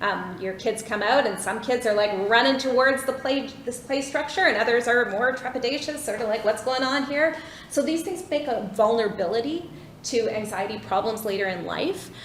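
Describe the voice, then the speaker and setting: Over noticeable background noise and audible room echo, a woman talks in a high pitch with lively intonation. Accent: Canadian. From Vancouver, Canada. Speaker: clinical psychologist. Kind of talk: lecture. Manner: fast.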